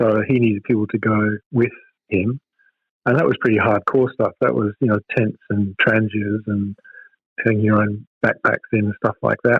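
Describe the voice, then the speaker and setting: Keeping his loudness very even, a man talks at a moderate pace and a fairly low pitch in monotone, flat intonation. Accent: Australian. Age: 60s. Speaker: hiking club president. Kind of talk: interview.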